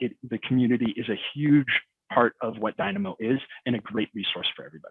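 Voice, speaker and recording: At a fairly quick pace, a man is speaking. His pitch is medium. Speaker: software expert presenter. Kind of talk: webinar presentation; panel discussion answer. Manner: fast.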